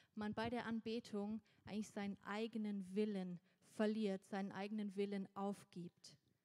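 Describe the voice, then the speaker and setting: In a dry, close recording with no echo, a woman with a fairly high pitch and a dark, mellow tone speaks at a fairly slow pace with fairly even intonation. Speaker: church interpreter translating a preacher into German. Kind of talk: sermon interpretation.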